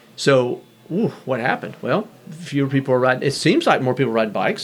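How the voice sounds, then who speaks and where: A man with an American accent at a fairly high pitch and a fairly quick pace, amid noticeable background noise. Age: 50s. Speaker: bike shop owner. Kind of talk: casual interview.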